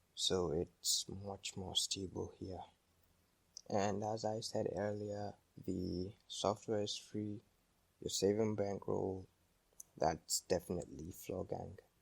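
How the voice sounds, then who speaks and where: Quiet and very slow, a man with a non-native accent speaks at a fairly low pitch in a monotone, flat way, with long, frequent pauses. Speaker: tech YouTuber. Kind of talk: tech tutorial narration.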